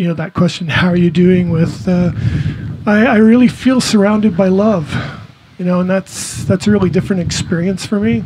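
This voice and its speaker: The pitch varies in an ordinary way. Background noise is noticeable. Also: man. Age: 60s. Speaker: cancer patient sharing testimony. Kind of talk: testimony. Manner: soft-spoken.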